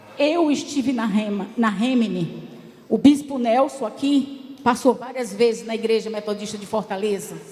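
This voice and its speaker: Loudness swings widely at a moderate pace, with ordinary pitch variation and noticeable background noise. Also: woman, fairly high pitch for a woman. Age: 60s. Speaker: church delegate, former education secretary. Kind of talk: assembly speech. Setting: church council plenary. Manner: impassioned.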